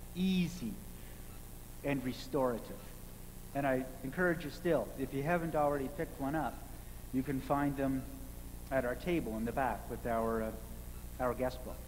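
Long, frequent pauses break up a man's speech at a moderate pace, with ordinary pitch variation. Light noise sits in the background. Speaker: minister. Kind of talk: sermon. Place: church. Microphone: podium.

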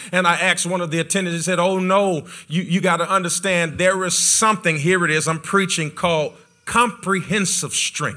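The background is quiet. A man talks at a moderate pace with fairly even intonation. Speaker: pastor. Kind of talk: sermon. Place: church. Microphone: handheld.

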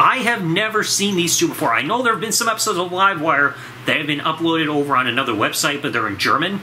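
Over clear background noise, a man talks at a fast pace with a fairly high pitch. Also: ordinary pitch variation.

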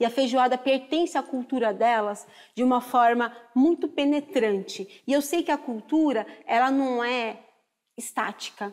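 Against a quiet background, a woman speaks fairly slowly at a fairly high pitch with ordinary pitch variation. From Brazil. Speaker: chef and culinary historian; guest. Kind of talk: TV talk show discussion. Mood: earnest, impassioned. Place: studio.

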